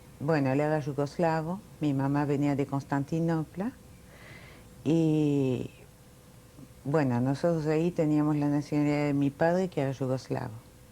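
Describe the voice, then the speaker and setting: A woman's very deep, low voice with a dark, mellow tone, fairly even intonation and very even loudness, at a moderate pace broken by long, frequent pauses. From France (Paris), born in Milan. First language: Italian, then French (speaking Spanish). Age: 60s. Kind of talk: oral history interview.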